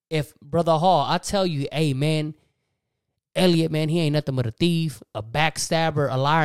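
The speaker has a Texan accent and an animated, energetic tone at a moderate pace. The recording is very clean with a silent background. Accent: Texan Southern US. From Texas. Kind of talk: sermon-like religious talk, casual. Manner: animated, energetic, preacherly.

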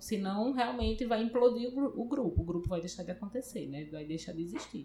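This woman's voice sits fairly high and rises and falls very widely as she talks. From Paraíba, Brazil. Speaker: computer science professor. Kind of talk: interview.

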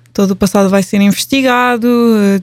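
The delivery goes at a moderate speed. The intonation stays monotone and flat. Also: woman. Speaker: podcast host. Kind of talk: casual chat.

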